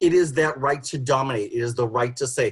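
Here a man speaks in a somewhat breathy voice. His pitch varies in an ordinary way. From Boston. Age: 50s. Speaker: sociologist. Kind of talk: panel talk. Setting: video call.

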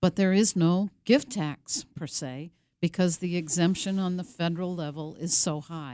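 On a very clean recording with a silent background, a woman speaks at a moderate pace in a dark, mellow, fairly low voice with ordinary pitch variation. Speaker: elder law attorney. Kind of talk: radio interview. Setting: radio studio.

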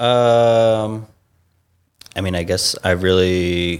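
A man with an American accent and a very deep, low pitch, at a very slow pace with fairly even intonation. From US South, Savannah, Georgia. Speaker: improv performer and sketch writer. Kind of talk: casual interview chat.

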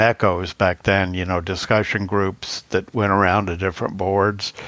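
A man speaks in a normal speaking voice at a fairly low pitch and a moderate pace. The recording is very clean, with a silent background. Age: 60s. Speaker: blindness agency technology worker, former radio writer. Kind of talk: casual interview.

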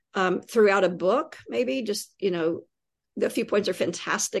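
An American accent marks this woman's medium-pitched voice, with vocal fry and lively intonation. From US South, East Tennessee. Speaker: poet and creative writing teacher. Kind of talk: interview conversation.

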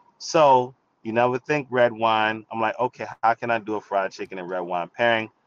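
A man with a New York accent, medium pitch, ordinary pitch variation, and a moderate pace, in a dry, close sound with no echo. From New York, the Bronx. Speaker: wine expert and TV presenter. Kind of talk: casual interview.

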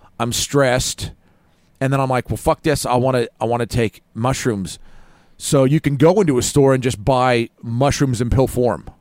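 A man with an unremarkable speaking voice talks at a moderate pace and medium pitch, with ordinary pitch variation and a dry, close sound with no echo. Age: 50s. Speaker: metal musician. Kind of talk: casual chat.

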